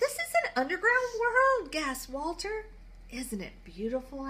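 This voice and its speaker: A squeaky, put-on character voice from a woman, extremely high in pitch with very wide pitch swings, at a moderate pace over clear background noise. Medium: read story. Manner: timid.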